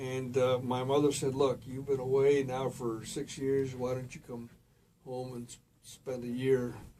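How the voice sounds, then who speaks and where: A man speaks at a fairly slow pace and a medium pitch, in a monotone, flat intonation. His loudness swings widely, over noticeable background noise. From Puerto Rico. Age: 70s. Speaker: former mayor. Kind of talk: interview.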